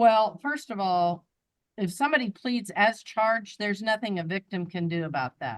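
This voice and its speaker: Using an unremarkable speaking voice, a woman with a medium pitch talks at a moderate pace with ordinary pitch variation. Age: 60s. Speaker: judge. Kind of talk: court hearing.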